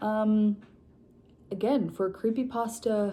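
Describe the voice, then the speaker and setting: Soft-spoken, a woman talks in a fairly high pitch with a dark, mellow tone. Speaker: book vlogger. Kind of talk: casual chat. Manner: low energy.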